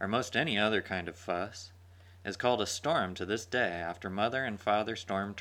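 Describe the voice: Ordinary pitch variation in a stretch of plain reading aloud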